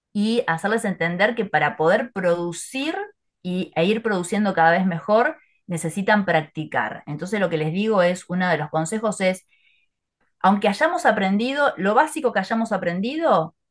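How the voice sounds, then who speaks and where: A woman speaks at a medium pitch with an ordinary speaking voice. Her pace is moderate and her intonation lively. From Argentina, Buenos Aires. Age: 40s. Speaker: English teacher and language coach. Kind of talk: interview conversation.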